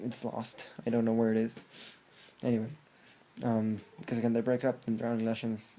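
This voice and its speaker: A man talks at a fairly quick pace with a medium pitch. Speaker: music reviewer. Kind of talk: album review monologue. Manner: fast; animated.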